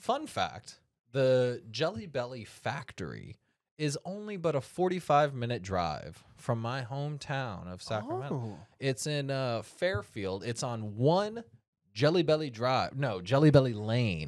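The voice moves at a fairly slow pace with very wide pitch swings. The background is quiet. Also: man. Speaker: podcast host. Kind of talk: casual podcast chat. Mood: playful, jokey. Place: studio. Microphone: studio mic.

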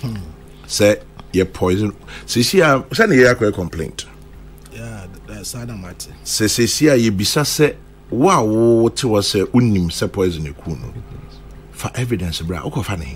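With music in the background, a man with a fairly low pitch speaks at a fairly slow pace, taking long, frequent pauses. His intonation is lively, and his loudness swings widely. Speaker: radio presenter. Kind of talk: radio commentary. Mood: critical, disapproving. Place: studio. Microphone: studio mic.

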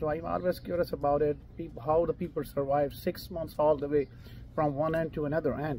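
A man speaking at a fairly quick pace with fairly even intonation, a dry sound with no echo, and light background noise. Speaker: travel vlogger. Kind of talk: interviewing a hiker on camera. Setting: outdoors. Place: cafe. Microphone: camera far.

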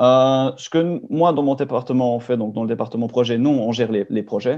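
A man speaks with a dark, mellow tone and fairly even intonation against a quiet background. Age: 20s. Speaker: engineering student. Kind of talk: webinar presentation. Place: home room. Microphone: webcam.

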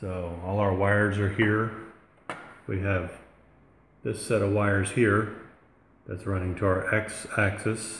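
A man with a fairly low voice talks fairly slowly in a monotone, flat intonation, leaving long, frequent pauses. Light background noise and audible room echo surround him. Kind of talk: tutorial. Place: home room. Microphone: phone near.

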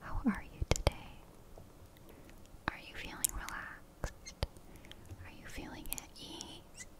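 A woman whispers in a soothing tone at a fairly slow pace. She leaves long pauses, and they come often. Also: big swings in loudness. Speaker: ASMR creator. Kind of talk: ASMR relaxation whisper to camera. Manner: close, soft, whispered, soothing. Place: home room.

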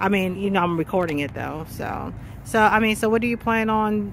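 Fairly quick speech, dry with no echo, over light background noise. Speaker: pharmacist, street interviewer. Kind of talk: street interview questions. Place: street. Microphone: phone near.

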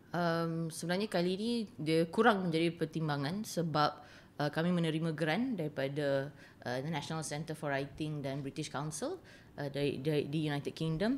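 A moderate pace with ordinary pitch variation. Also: woman, very deep, low pitch for a woman. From Malaysia, Kuala Lumpur. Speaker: writer and translator. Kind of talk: interview. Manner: halting.

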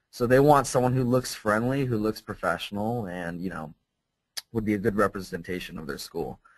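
A man's plain, everyday voice in a General American accent, fairly low in pitch, at a fairly quick pace, with lively intonation and big swings in loudness. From US West Coast. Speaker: English teacher. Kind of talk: webinar presentation. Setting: online webinar.

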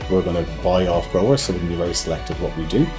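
Clear music plays behind a man talking at a very fast pace. His very deep, low voice shows ordinary pitch variation. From Ireland. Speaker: cellar-door manager. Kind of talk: interview answer. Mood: calm, positive. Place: shop.

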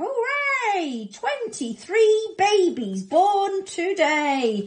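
This is a put-on character voice with big pitch swings. The pace is very slow. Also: woman, extremely high pitch for a woman.

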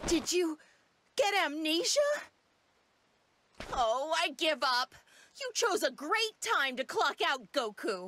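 A woman puts on a cartoonish character voice at a high pitch, with a bright, sharp tone, big pitch swings, a slow pace and long, frequent pauses.

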